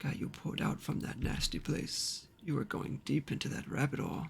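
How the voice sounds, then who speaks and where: A man puts on a character voice, pitched fairly high, speaking at a moderate pace. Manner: monotonous.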